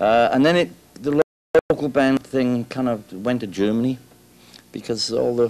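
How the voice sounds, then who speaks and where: Speaking at a moderate pace with long, frequent pauses, the voice carries a Welsh accent and ordinary pitch variation. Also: man, medium pitch for a man. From South Wales. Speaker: rock guitarist. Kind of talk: interview. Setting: music store. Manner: halting.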